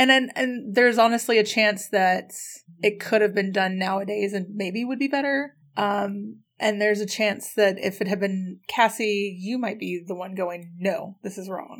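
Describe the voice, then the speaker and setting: Over a silent background in a very clean recording, a woman with an unremarkable speaking voice at medium pitch talks at a moderate pace with fairly even intonation. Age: 30s. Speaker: podcast co-host. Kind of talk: casual chat.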